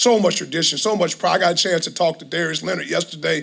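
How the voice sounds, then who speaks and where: With vocal fry, a man speaks at a fairly high pitch. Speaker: college football head coach. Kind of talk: press conference. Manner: passionate.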